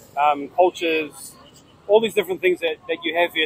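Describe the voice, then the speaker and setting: The voice has a New Zealand accent. Noticeable background noise runs under it. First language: Maori. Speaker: food content creator. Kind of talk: casual interview. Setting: outdoors at busy street intersection.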